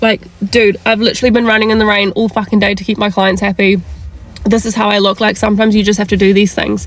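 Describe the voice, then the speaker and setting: A woman with a New Zealand accent, music in the background. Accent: New Zealand (Kiwi). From South Africa. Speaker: events industry worker. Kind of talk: casual rant to camera. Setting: in a car.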